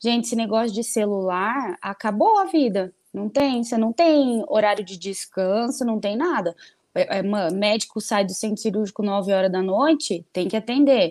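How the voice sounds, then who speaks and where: A woman with a normal speaking voice, fairly high in pitch, at a moderate pace with ordinary pitch variation and hardly any pauses. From Botucatu, interior of São Paulo state, Brazil. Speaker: lawyer. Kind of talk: casual interview chat.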